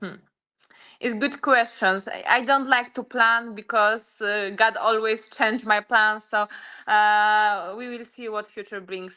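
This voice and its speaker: A woman with a Polish accent speaks at a fairly slow pace in a fairly high voice, her loudness swinging widely. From Poland. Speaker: UFC fighter. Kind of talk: interview. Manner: halting.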